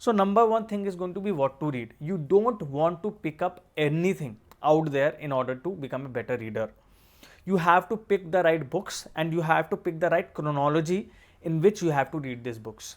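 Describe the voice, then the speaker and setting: With an Indian accent, a man talks in a fairly high pitch using lively intonation. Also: moderate pace. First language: Hindi. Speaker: exam coach and civil servant. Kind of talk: tutorial.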